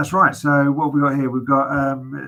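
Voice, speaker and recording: A man with a British accent, fairly high-pitched, bright and sharp in tone. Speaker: auctioneer describing property lots. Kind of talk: property auction lot presentation. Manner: conversational, hesitant with fillers.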